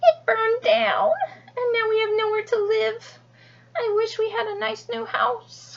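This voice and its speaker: A woman speaks in a put-on character voice, squeaky and extremely high-pitched. Her pace is fairly slow. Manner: sad, wishing.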